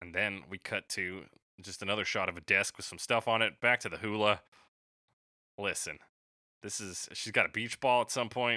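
A man's fairly low voice with a bright, sharp tone, fairly even intonation and long, frequent pauses, dry and close with no echo, on a very clean recording with a silent background. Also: moderate pace, big swings in loudness. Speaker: podcast host. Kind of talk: casual chat.

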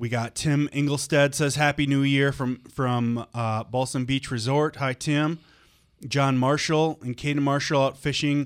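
A man with an American accent speaks at a fairly slow pace, his pitch fairly high and his intonation flat and monotone. The recording is very clean, with a silent background. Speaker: radio co-host. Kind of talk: casual chat. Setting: studio.

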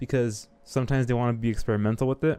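A man speaks at a moderate pace. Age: 20s. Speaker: podcast host. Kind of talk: casual chat.

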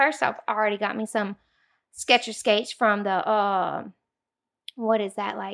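A woman with a Louisiana accent speaks at a moderate pace, her fairly high voice held in fairly even intonation and broken by long, frequent pauses. The very clean recording has a silent background and a dry, close sound with no echo. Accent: Southern US, Louisiana. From US South, Louisiana (Zachary). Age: 30s. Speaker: podcast guest. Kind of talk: casual chat.

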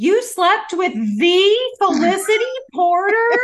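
A put-on character voice, female-sounding, with an extremely high pitch at a fairly slow pace.

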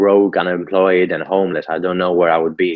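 His intonation is fairly even, and this man has a low pitch.

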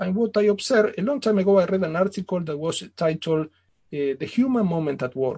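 At a fairly quick pace, a man speaks in a high pitch with a dark, mellow tone and ordinary pitch variation. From Italy / Argentina. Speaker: business author. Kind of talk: interview. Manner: formal.

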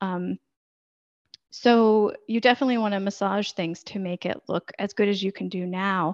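A woman with an American accent, a normal speaking voice, medium pitch and fairly even intonation. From United States. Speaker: podcast editor and consultant. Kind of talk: interview conversation.

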